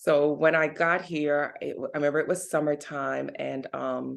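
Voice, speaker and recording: A woman speaks with a very deep, low pitch and vocal fry. The background is quiet. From Jamaica, moved to US at ten. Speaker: vegan recipe creator. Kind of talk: casual interview chat.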